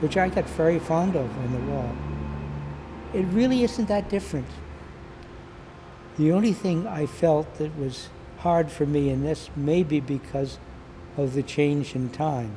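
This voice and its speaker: Over noticeable background noise, a fairly high-pitched man speaks at a fairly slow pace with lively intonation and long, frequent pauses. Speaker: peace activist. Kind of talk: interview testimony. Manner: halting.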